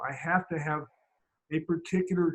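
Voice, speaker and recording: Pitched high, a man speaks at a moderate pace. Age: 70s. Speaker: Feldenkrais teacher. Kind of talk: interview conversation. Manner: halting, with many repeated words.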